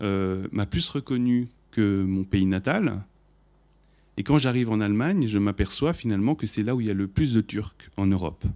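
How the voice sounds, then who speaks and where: A man's fairly low voice with ordinary pitch variation, a moderate pace, and long, frequent pauses. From France (Paris), Armenian heritage. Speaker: musician, audience member. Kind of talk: audience question.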